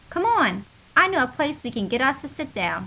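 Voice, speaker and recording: A woman performs a put-on character voice at a moderate pace. Her pitch is high and swings very widely. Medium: read story. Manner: folksy, plainspoken.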